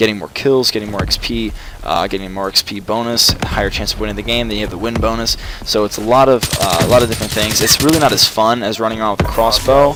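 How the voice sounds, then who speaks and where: Through noticeable background noise, a man of medium pitch speaks at a very fast pace with ordinary pitch variation. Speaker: gaming commentator. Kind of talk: casual gameplay commentary.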